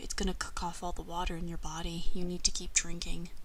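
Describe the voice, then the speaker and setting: Whispering at a fairly quick pace, a woman speaks. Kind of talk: ASMR roleplay. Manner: whispered.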